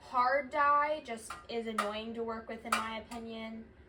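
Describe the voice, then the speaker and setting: Her voice is high, and this woman uses ordinary pitch variation. She speaks at a moderate pace with noticeable background noise. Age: young, 18. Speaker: small business owner, candle maker. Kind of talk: casual tutorial vlog. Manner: quiet while concentrating.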